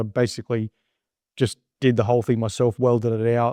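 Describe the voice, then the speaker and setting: Against a quiet background, a man with an Australian accent speaks at a medium pitch in a dark, mellow tone. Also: dry, close sound with no echo. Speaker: business owner. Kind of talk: interview. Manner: casual, filler-heavy.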